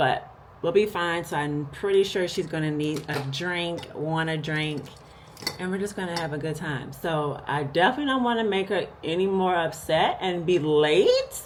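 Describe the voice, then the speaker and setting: There is noticeable background noise and audible room echo as a woman speaks. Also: fairly low pitch for a woman, ordinary pitch variation, moderate pace. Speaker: lifestyle vlogger. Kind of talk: casual vlog talk to camera. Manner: animated.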